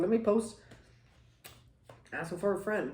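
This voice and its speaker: A woman speaks over noticeable background noise. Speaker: mukbang vlogger. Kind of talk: casual chat while eating. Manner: animated.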